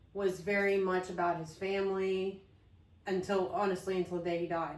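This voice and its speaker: Fairly quick speech from a woman at a medium pitch, with audible room echo. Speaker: podcast co-host. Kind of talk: casual chat. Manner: frequent um fillers and pauses; thoughtful, mindful pace.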